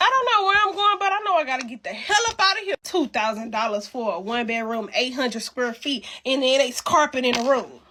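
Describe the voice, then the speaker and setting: A woman's high, raised, projected voice with an animated tone and very wide pitch swings, amid noticeable background noise. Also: fairly quick pace. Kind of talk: comedic rant. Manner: stuttering.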